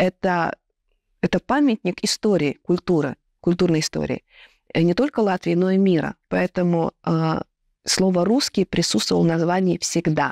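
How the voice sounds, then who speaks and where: A woman's fairly low voice at a moderate pace, with lively intonation, long and frequent pauses, and very even loudness, in a dry sound with no echo against a quiet background. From Latvia. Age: 30s. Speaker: theatre director and actress; actress. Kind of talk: panel discussion. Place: stage. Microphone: lapel.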